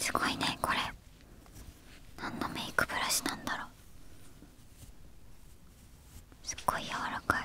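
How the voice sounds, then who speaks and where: A soft-spoken woman whispers at a very slow pace, with a dry sound with no echo and light background noise. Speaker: streamer. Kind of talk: soft casual ASMR chat. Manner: soft close-mic ASMR whisper. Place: studio. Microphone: studio mic.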